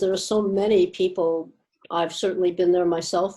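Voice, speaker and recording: A woman's medium-pitched, fairly even voice at a moderate pace, a normal speaking voice. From US. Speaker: addiction counsellor. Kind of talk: webinar Q&A advice.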